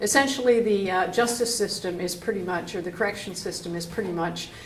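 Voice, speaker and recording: A woman speaks at a medium pitch with ordinary pitch variation, amid noticeable background noise and audible room echo. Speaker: advocacy organization representative. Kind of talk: panel talk.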